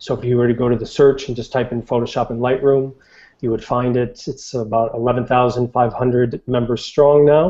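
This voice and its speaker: A man in a monotone, flat intonation at a moderate pace, with a quiet background. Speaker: online group moderator. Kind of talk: casual chat. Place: home room. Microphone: earbuds.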